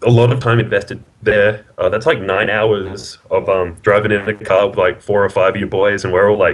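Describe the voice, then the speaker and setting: A man with an Australian accent at a moderate pace. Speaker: card game player. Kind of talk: casual interview.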